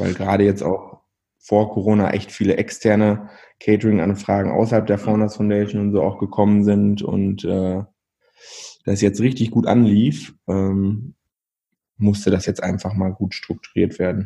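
A man speaks at a moderate pace with a fairly low pitch and a dark, mellow tone. His intonation is monotone and flat. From Germany, East Westphalia (Verl/Kaunitz). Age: 20s. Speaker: entrepreneur, restaurant owner. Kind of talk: casual interview. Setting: remote recording.

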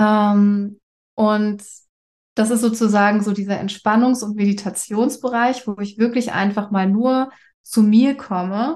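A woman speaks in an ordinary speaking voice at a fairly slow pace, her fairly high pitch held to a fairly even intonation against a quiet background. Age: 30s. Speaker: actress with breast cancer. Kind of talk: interview. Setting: video call.

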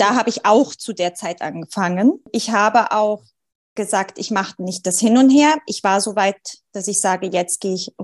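Her voice sits fairly high and moves at a medium pace. This woman's pitch shifts in an ordinary way. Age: 30s. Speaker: mother, sleep coaching client. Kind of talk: casual interview chat.

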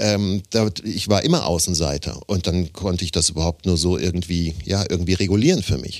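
A man with a very deep, low voice speaks at a fairly quick pace with hardly any pauses and ordinary pitch variation. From Germany, Offenbach (Hesse). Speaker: voice actor and speech coach. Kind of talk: casual interview chat. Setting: studio. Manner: animated.

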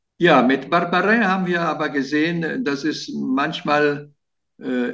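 Speaking at a very slow pace, a man is heard. His intonation is lively. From Italy and Germany, bilingual. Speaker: journalist. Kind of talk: interview. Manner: hesitant, many fillers.

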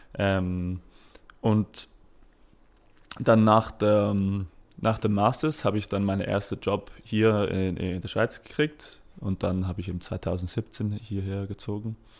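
A man speaks at a very slow pace with long, frequent pauses. His intonation stays fairly even. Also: fairly low pitch for a man. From Britain. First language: English (speaking German). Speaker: startup founder. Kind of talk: interview. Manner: halting, many fillers.

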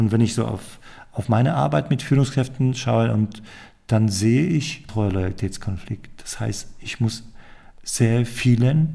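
At a very slow pace, a man speaks at a medium pitch with ordinary pitch variation, sounding somewhat breathy with a dark, mellow tone. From Poland. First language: Polish (speaking German). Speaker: leadership consultant and podcast host. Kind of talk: casual chat. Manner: halting.

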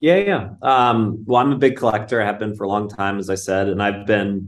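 A man speaks in an ordinary speaking voice at a fairly low pitch and a moderate pace. His intonation stays fairly even over a quiet background. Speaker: collectibles company CEO. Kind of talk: casual interview.

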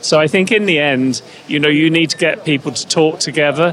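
A man speaks with a fairly high pitch. Noticeable background noise runs behind him. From Canada. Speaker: head of a national health IT organization. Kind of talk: interview. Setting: on site at a congress in Berlin. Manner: hesitant, with many fillers.

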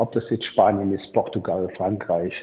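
In a monotone, flat intonation, a man speaks at fairly low pitch. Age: 60s. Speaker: former football club technical director. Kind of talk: interview. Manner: halting, many repetitions.

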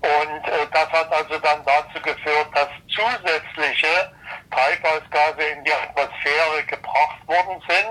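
Over noticeable background noise, a man with a fairly high voice speaks very slowly, his loudness very even and his intonation fairly even. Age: 70s. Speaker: retired engineer and climate expert. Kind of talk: interview.

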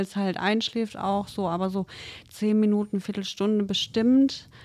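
Her intonation is monotone and flat. The woman talks at a fairly slow pace. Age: 30s. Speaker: trainee veterinary assistant. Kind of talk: casual chat.

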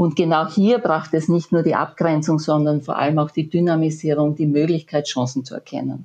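A woman with a very deep, low pitch and a dark, mellow tone talks at a moderate pace with hardly any pauses and fairly even intonation against a quiet background. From Austria, rural area near Graz (Styria). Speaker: management consultant and author. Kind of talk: interview.

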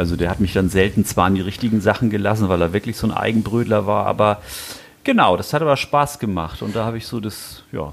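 Ordinary pitch variation marks this very fast delivery, heard over noticeable background noise. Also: man, fairly low pitch for a man. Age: 60s. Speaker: knife maker. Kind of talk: casual chat. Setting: workshop. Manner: halting.

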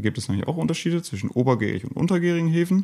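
This man's tone is dark and mellow. The recording is very clean, with a silent background. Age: 20s. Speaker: craft beer brewer and brand founder. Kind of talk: casual chat.

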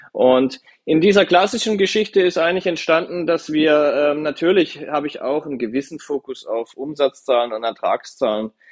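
With lively intonation and hardly any pauses, a man talks at a moderate pace in a plain, everyday voice pitched fairly high. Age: 30s. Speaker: car dealership managing director. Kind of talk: podcast interview.

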